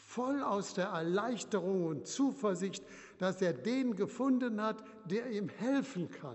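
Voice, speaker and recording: A man is speaking. His pace is very slow. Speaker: retired bishop preaching. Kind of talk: sermon in church, measured pulpit delivery, solemn and earnest. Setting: church. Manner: formal; measured, rhetorical, emphatic with repetition.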